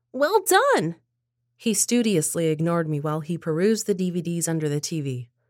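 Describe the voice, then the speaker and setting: On a very clean recording with a silent background, a woman with a plain, everyday voice speaks at a moderate pace in a fairly low pitch with ordinary pitch variation. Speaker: story narrator. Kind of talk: scripted narration.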